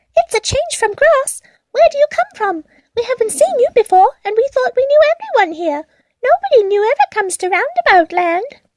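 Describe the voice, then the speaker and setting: A woman does a squeaky put-on character voice at an extremely high pitch. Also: moderate pace. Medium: read story. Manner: quick, eager.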